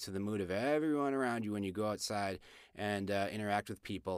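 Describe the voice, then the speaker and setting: A man with an American accent speaks in a plain, everyday voice, fairly low in pitch with ordinary pitch variation. The sound is dry and close with no echo, and the recording is very clean against a silent background. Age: middle-aged. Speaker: astrology podcast host. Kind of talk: casual chat.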